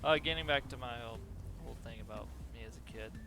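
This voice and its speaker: Background music can be heard. Over it, a man talks. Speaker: gaming youtuber. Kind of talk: let's play commentary. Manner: halting, stumbles over words.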